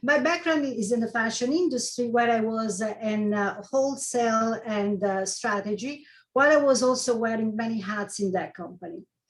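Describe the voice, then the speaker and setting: With a fairly high pitch and ordinary pitch variation, a somewhat breathy woman talks at a moderate pace with hardly any pauses. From Italy. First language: Italian. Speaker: life coach. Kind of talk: presentation.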